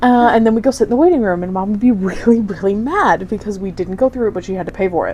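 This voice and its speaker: Very fast speech with hardly any pauses, over noticeable background noise. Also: woman, fairly high pitch for a woman, ordinary pitch variation. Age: 20s. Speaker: podcast co-host. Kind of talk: casual chat.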